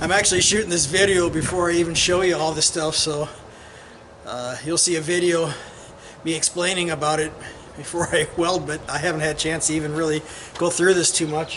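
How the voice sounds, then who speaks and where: With an American accent, a man speaks at a fairly quick pace and high pitch in a monotone, flat intonation, broken by long, frequent pauses. There is noticeable background noise. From Iowa. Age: 60s. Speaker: hobby welder vlogger. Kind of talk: casual video commentary. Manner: halting.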